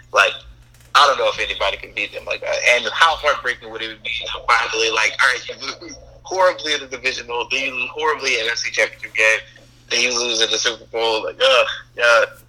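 A man talks at a very fast pace with big swings in loudness. There is noticeable background noise. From US South. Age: 20s. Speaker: podcast guest, friend of host. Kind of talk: casual chat.

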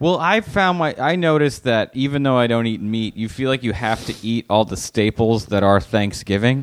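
This man has a plain, everyday voice at a medium pitch. He talks at a moderate pace with hardly any pauses. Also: lively intonation. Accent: American. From Los Angeles, US. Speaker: comedian. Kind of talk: casual chat.

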